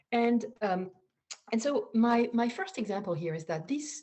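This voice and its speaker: A woman with a French accent talks at a moderate pace, somewhat breathy. Her intonation is lively. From France. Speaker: data scientist. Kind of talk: conference talk. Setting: online video talk. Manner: halting, many fillers and repeats.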